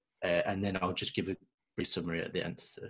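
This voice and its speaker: With an English accent, a man speaks fairly quickly in a very deep, low pitch and a monotone, flat intonation. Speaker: student podcast presenter. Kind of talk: prepared talk. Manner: halting, many fillers.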